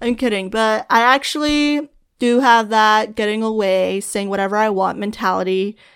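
A woman speaks at a moderate pace in a fairly high pitch with ordinary variation, an unremarkable speaking voice. The recording is very clean, the background silent. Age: 20s. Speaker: podcast host. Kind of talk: casual solo monologue. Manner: laughing often.

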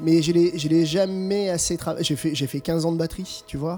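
There is noticeable background noise. A man speaks with a high pitch at a moderate pace. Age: 40s. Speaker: musician. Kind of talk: casual interview. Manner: halting.

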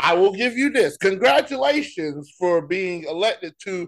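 A man speaks loudly, his tone animated and his intonation lively. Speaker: sports podcast co-host. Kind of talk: casual chat.

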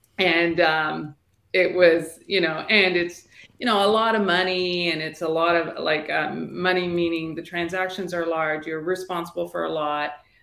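Monotone, flat intonation in a Canadian accent at a moderate pace. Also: woman, fairly low pitch for a woman. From Toronto, Canada (born in Sri Lanka, moved at four). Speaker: real estate agent. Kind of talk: casual interview.

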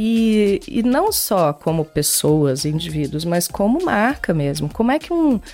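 A woman of medium pitch and dark, mellow tone speaks fairly slowly with very wide pitch swings, very even loudness and hardly any pauses. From Minas Gerais, Brazil. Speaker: brand art director. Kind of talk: interview.

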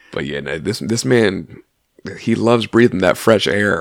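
A man with vocal fry speaks at a moderate pace with lively intonation. The sound is dry and close with no echo. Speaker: podcast co-host. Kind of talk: casual chat. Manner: joking.

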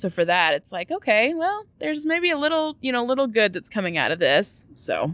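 A woman's high voice moves fairly quickly with very wide pitch swings and hardly any pauses against a quiet background. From Louisville, Kentucky. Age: 20s. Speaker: author. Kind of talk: casual chat.

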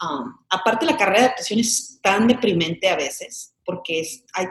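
Ordinary pitch variation at a fairly slow pace. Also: woman. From Mexican-American, grew up in Chicago. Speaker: actress. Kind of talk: casual interview chat.

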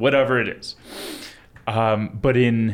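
Speaking with an American accent, a man has a plain, everyday voice at medium pitch with ordinary pitch variation. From Long Island, New York. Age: 20s. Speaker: attorney. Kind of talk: casual interview.

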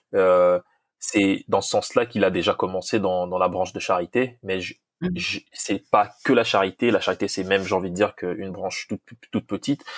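A moderate pace, a dry, close sound with no echo, and a very clean recording with a silent background. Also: man. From DR Congo. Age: young. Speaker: football coach. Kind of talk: interview.

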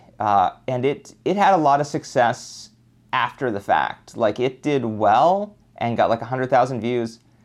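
A man with an unremarkable speaking voice talks at a fairly slow pace and a medium pitch. His intonation is lively, and the background is quiet. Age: 30s. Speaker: YouTuber. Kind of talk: casual interview chat.

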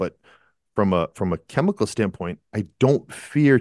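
With an American accent, a man has a plain, everyday voice with a fairly low pitch and lively intonation, heard as a dry, close sound with no echo over a quiet background. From Massachusetts, US. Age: 50s. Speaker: at-home dad, author and musician. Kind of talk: interview.

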